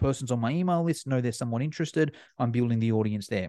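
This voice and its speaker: An animated man talks very fast with an Australian accent. The sound is dry and close with no echo, over a quiet background. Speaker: fitness educator. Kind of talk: casual chat.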